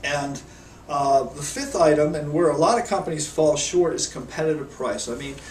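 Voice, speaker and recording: A man's fairly high voice with ordinary pitch variation at a moderate pace, audible room echo and noticeable background noise. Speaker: network marketing promoter. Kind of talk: video tutorial. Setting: home office. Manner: halting, many fillers.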